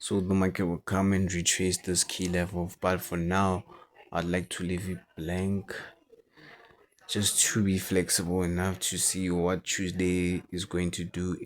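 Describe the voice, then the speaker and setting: With a non-native accent, a man speaks at a fairly slow pace in a very deep, low pitch and a monotone, flat intonation. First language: not English. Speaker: forex trader. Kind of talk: market analysis tutorial. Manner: halting.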